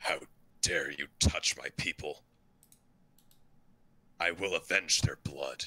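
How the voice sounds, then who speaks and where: Booming in a put-on character voice, a man speaks fairly slowly with long, frequent pauses. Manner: wrathful, vengeful.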